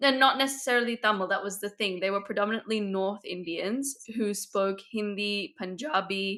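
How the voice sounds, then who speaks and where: A woman talks at a moderate pace with hardly any pauses, her pitch medium. Her tone is bright and sharp, with ordinary pitch variation. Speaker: podcast co-host. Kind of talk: casual chat.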